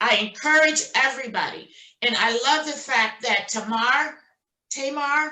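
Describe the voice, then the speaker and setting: A woman projects a raised voice with a high pitch and a bright, sharp tone. She speaks at a fairly slow pace with ordinary pitch variation. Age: 60s. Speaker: notary signing agent. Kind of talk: casual chat.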